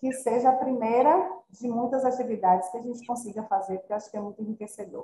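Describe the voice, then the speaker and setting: A woman at a fairly high pitch speaks with ordinary pitch variation in a normal speaking voice. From Salvador, Bahia, Brazil. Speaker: physiotherapist. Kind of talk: online panel discussion. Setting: video call.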